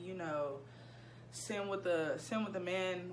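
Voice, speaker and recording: Noticeable background noise behind a woman talking at a fairly slow pace. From Ohio, USA. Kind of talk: casual storytime talk to camera. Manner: goofy, chatty.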